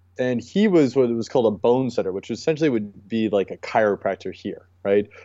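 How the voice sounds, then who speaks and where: The speaker has a normal speaking voice, ordinary pitch variation and a fairly quick pace. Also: man. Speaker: acupuncturist and movement specialist. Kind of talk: interview about mobility and training.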